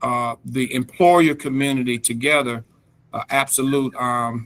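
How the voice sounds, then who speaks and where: The voice carries a slight North Carolina accent and a bright, sharp tone. The pace is very slow. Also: man. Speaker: reentry program expert, presenter. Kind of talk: presentation at a government task force meeting. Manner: halting, many fillers.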